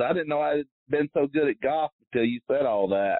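A man with a normal speaking voice talks at a fairly high pitch with ordinary pitch variation. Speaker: tour caddie. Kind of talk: casual interview. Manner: rambling, informal.

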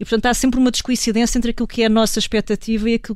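A woman's fairly high, monotone voice with flat intonation at a very fast pace, on a very clean recording with a silent background. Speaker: culture commentator. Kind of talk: panel discussion.

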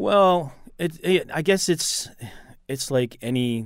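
This man has a normal speaking voice with ordinary pitch variation and a fairly slow pace. The recording is very clean, with a silent background. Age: 50s. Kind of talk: radio interview.

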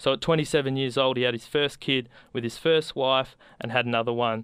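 A man speaks with an Australian accent at a moderate pace, his pitch medium and his intonation fairly even. The tone is bright and sharp, and the recording is very clean against a silent background. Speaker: community radio host. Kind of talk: radio show hosting.

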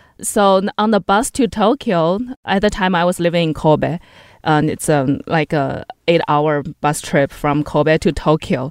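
A woman with a Chinese accent speaks at a fairly slow pace and fairly low pitch with ordinary pitch variation and very even loudness, the sound dry and close with no echo against a quiet background. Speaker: English teacher and traveler. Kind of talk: interview. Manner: halting, with many fillers; laughs often.

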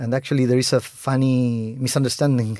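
A man speaks with a Spanish accent on a very clean recording with a silent background. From Chile. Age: 40s. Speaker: film director. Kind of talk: interview.

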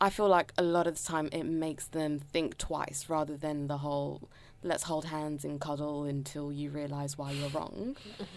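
At a moderate pace with hardly any pauses, a woman with a very deep, low voice speaks in fairly even intonation on a very clean recording with a silent background. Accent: London. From London. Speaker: education worker. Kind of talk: casual chat.

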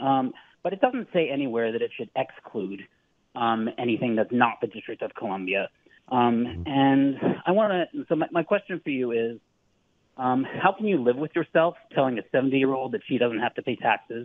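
Lively intonation marks this man's medium-pitched voice. He talks at a moderate pace with an American accent. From California. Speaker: caller. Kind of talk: challenging call-in question. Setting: phone call. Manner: halting.

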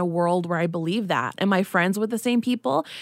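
A woman in an ordinary speaking voice, medium pitch with ordinary variation, dry and close with no echo, very clean recording with a silent background. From US, child of Mexican immigrants. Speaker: writer and body image activist. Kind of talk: casual chat.

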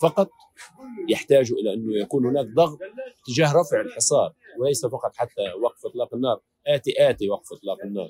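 A man talks at a moderate pace, the sound dry and close with no echo. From Gaza Strip. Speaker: war correspondent. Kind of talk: interview.

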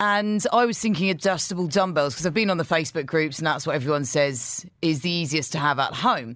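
A man speaks in an ordinary speaking voice with a fairly high pitch and lively intonation. His loudness stays very even at a fairly quick pace, with hardly any pauses. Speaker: radio breakfast show co-host. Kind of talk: casual chat. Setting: radio studio.

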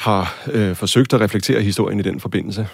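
Ordinary pitch variation shapes a man's fairly low-pitched voice. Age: 40s. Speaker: university lecturer and film director. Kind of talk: interview. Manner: halting, many filler sounds.

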